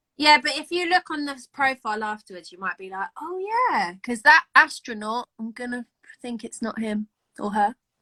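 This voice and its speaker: A woman speaks in a high pitch with a bright, sharp tone and lively intonation. The sound is dry and close, with no echo. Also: moderate pace, big swings in loudness. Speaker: amateur bodybuilder. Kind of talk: casual chat. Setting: Instagram live video. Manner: loud.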